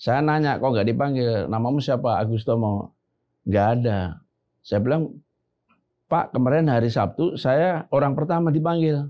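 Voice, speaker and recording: A man with a Javanese accent talks at a moderate pace and a medium pitch. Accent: Javanese-accented Indonesian. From Central Java (Klaten). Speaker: retired army general. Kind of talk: casual podcast interview. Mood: calm, reflective storytelling. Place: studio. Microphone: lapel.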